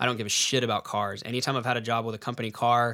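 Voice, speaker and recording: A man talks at a very fast pace in a Texan accent, his tone bright and sharp. His intonation is monotone and flat, and the recording is very clean with a silent background. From Texas, San Angelo. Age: 30s. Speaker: real estate investor. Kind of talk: casual chat.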